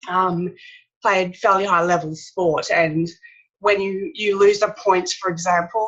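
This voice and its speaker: A woman with an Australian accent, monotone and flat in intonation, at a fairly slow pace. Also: medium pitch for a woman. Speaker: author and speaker. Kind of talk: interview. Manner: slightly impaired speech after brain injury.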